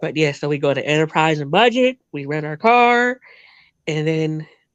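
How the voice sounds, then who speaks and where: The speaker has an American accent, against a quiet background. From New Jersey, US. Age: 20s. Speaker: podcast guest. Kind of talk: casual interview chat.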